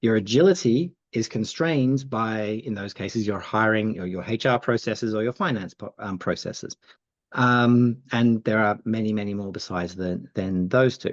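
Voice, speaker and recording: Against a quiet background, a man with an Australian accent speaks at a medium pitch with ordinary pitch variation. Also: moderate pace. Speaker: agility institute co-founder. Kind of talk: podcast interview. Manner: halting, many fillers.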